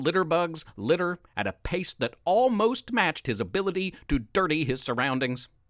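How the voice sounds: The voice reads in a natural way.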